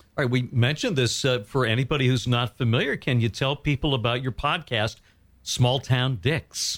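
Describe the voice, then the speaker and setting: Here a man of medium pitch speaks at a moderate pace with fairly even intonation and very even loudness, an unremarkable speaking voice. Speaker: radio and podcast host. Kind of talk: interview. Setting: studio.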